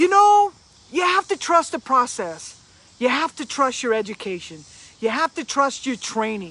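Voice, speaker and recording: Speech moves at a moderate speed. There is noticeable noise in the background. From Louisiana. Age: 50s. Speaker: motivational speaker. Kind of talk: motivational live stream talk.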